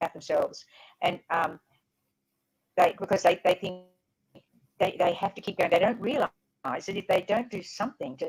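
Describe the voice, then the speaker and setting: A somewhat breathy woman's voice at medium pitch with an Australian accent, moderate pace, ordinary pitch variation and long, frequent pauses. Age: 80s+. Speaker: author and former teacher. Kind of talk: interview. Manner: halting, repeating words.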